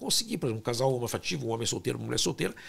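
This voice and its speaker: A man speaks with vocal fry on a very clean recording with a silent background. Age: 60s. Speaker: fertility doctor and scientist. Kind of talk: interview.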